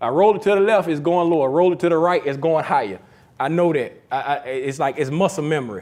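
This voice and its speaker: This man's voice sits fairly high, with ordinary pitch variation. He speaks at a fairly quick pace. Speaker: photography instructor. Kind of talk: lecture. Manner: fast.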